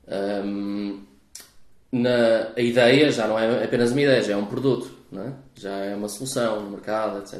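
A man speaks with a European Portuguese accent. His intonation stays fairly even, and the room echo is audible. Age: 40s. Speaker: venture capital investor. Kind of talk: interview. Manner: hesitant, many fillers.

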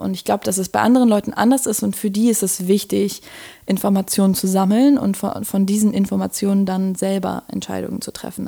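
The tone is dark and mellow, with fairly even intonation and a moderate pace. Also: woman. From Berlin, Germany. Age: 20s. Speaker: design student and podcaster. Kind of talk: interview conversation. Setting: in person, Berlin.

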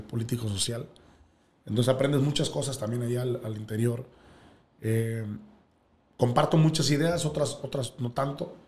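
Somewhat breathy, the man speaks with long, frequent pauses. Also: medium pitch for a man, ordinary pitch variation, moderate pace. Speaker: sports broadcaster and teacher. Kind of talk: casual interview.

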